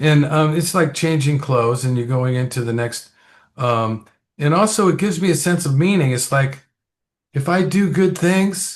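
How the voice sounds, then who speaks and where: With lively intonation and a fairly high pitch, a man sounds somewhat breathy at a moderate pace against a quiet background. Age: 70s. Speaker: podcast host. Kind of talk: interview. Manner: casual.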